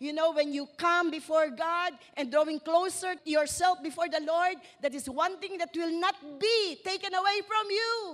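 This woman's pitch is extremely high, with ordinary variation. She talks at a moderate pace. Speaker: preacher. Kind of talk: sermon.

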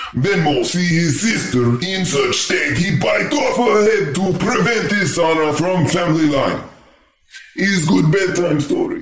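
A man puts on a character voice, pitched high and delivered at a fairly slow pace with a slight echo. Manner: blunt, deadpan, broken clipped speech.

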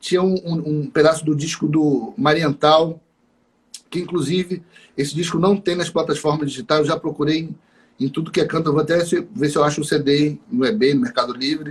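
Here is a man with an ordinary speaking voice and a fairly high pitch. He talks at a fairly quick pace with ordinary pitch variation. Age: 30s. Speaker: saxophonist and music teacher. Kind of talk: casual interview.

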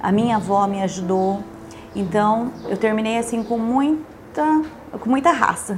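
A woman with a fairly high pitch talks at a fairly slow pace with lively intonation. Room echo is audible, and there is noticeable background noise. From Brazil, rural interior of São Paulo state (Parapuã). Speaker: pharmacist and business owner. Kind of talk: interview testimony.

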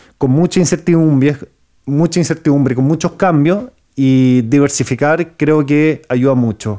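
A man with a dark, mellow tone speaks at a fairly slow pace with ordinary pitch variation. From Chile. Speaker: entrepreneur and YouTube interviewer. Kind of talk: interview.

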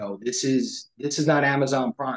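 A man talks fairly slowly with an American accent and a normal speaking voice. The sound is dry and close, with no echo. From New York. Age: 50s. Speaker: financial planner. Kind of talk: interview.

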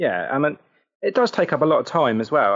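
With a southern English accent, a man talks at a fairly quick pace. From Southampton, southern England. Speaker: football podcaster and fan. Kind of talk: casual chat.

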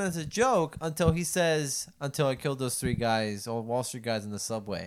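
A man speaks in a Puerto Rican accent at a fairly quick pace. He leaves hardly any pauses. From Puerto Rico. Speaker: podcast co-host. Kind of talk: casual chat.

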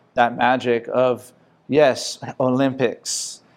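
In a Hawaiian accent, a man speaks at medium pitch with monotone, flat intonation on a very clean recording with a silent background. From Hawaii, Makaha (Oahu west side). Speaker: pro surfer. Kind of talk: interview.

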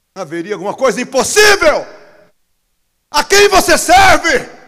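At a fairly slow pace, a man with a Brazilian accent speaks in a raised, projected voice with an animated tone. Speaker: pastor. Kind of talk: sermon, preaching live to a church congregation. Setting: church service with congregation, streamed online. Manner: animated, exclamatory, joking and laughing mid-sermon.

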